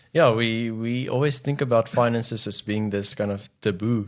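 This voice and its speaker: Against a quiet background, a man with a fairly low pitch speaks at a moderate pace in an Afrikaans accent. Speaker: podcast co-host. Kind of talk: casual chat.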